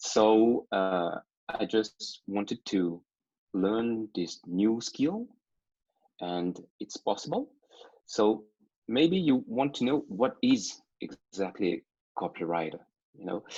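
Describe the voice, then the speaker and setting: Speaking very slowly with long, frequent pauses, a man uses lively intonation and a dark, mellow tone in a dry, close recording with no echo. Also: medium pitch for a man. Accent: non-native. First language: not English. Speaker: copywriter and digital marketer. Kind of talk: interview. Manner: halting, many fillers.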